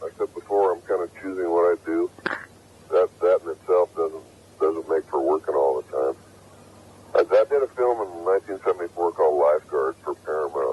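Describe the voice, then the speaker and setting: Recorded with a dry, close sound and no echo, a man talks at a fairly quick pace amid noticeable background noise. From United States. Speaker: actor. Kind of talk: interview answer.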